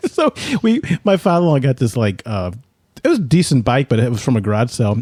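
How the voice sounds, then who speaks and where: An animated tone in a dry, close sound with no echo. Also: man. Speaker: podcast host. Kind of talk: casual chat. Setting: studio. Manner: fast.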